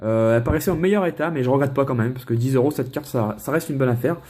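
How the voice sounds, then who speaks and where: A man talks at a very fast pace. His voice is somewhat breathy, with a dark, mellow tone. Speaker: Pokémon card collector YouTuber. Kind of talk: casual unboxing vlog. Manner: casual, hesitant with many fillers.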